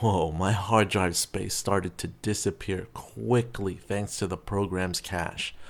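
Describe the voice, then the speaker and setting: There's an unremarkable speaking voice here, a man at a fairly low pitch going at a moderate pace, captured in a very clean recording with a silent background. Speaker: video editor and YouTuber. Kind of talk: tutorial. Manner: casual, with fillers.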